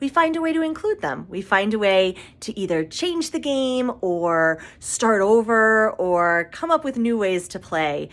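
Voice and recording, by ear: Someone is reading aloud. The voice is natural.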